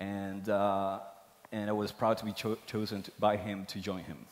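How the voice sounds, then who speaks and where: A man with a Spanish accent, fairly low in pitch, at a moderate pace with monotone, flat intonation. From Argentina. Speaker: tech executive. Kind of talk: conference talk. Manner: halting, many fillers.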